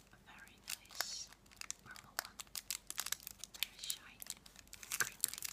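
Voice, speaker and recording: A woman at a fairly slow pace, with long, frequent pauses. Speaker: ASMR creator. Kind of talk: ASMR whisper video. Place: home room. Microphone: phone near.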